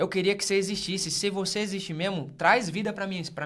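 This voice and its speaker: A man's voice is heard with audible room echo. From northern Minas Gerais, Brazil. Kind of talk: casual podcast interview, faith testimony.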